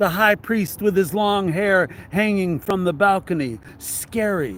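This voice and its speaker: Loud and high-pitched, this man's voice moves with ordinary pitch variation. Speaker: religious commentator, novelist. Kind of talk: reading aloud from own novel with commentary.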